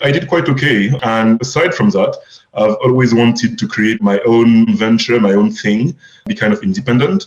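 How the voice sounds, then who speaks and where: Very wide pitch swings in a man's voice of medium pitch. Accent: French. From France. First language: French. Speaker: crypto fund manager. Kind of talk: podcast interview.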